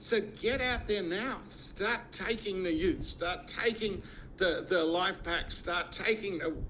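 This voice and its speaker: Speaking at a very slow pace, a man has a high pitch and ordinary pitch variation. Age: 60s. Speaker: network marketing distributor. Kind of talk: sales pitch. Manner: animated.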